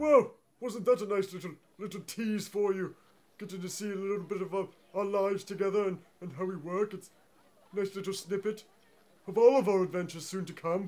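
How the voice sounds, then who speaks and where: A man's put-on character voice, high-pitched, with long, frequent pauses. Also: fairly quick pace. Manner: flustered, stammering.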